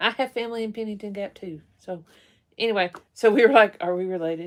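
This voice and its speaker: In an Appalachian accent, a woman talks at a very fast pace and medium pitch, with ordinary pitch variation and big swings in loudness, on a very clean recording with a silent background. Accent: Appalachian Kentucky. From eastern Kentucky (Hazard). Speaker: live-stream co-host, rockhound. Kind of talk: casual live-stream chat.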